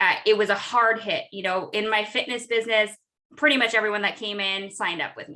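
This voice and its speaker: A woman speaks at a fairly quick pace in a fairly high pitch, her bright, sharp tone rising and falling in big swings of loudness. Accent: American. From Southern California. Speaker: entrepreneur and connection strategist. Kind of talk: interview. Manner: animated.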